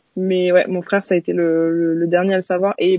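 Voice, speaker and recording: Her voice sits at a medium pitch for a woman, delivered with monotone, flat intonation. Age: 20s. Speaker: interviewee sharing personal story. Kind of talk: interview. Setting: video call. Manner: halting.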